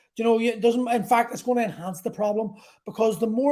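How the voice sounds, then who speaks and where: The tone is dark and mellow, with a fairly even intonation and an Irish accent. The pace is very fast. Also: man. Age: 40s. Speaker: podcast host. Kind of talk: monologue. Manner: halting.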